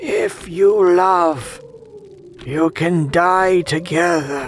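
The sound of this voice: At a very slow pace, a voice of middle pitch with ordinary pitch variation comes through clear background noise.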